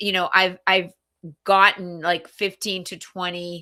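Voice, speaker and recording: The tone is bright and sharp, captured in a very clean recording against a silent background. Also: woman. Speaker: business coach. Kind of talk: casual chat.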